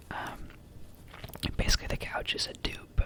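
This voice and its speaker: A man whispering, with noticeable background noise. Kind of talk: whispered ASMR ramble to camera. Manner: whispered, soft-spoken.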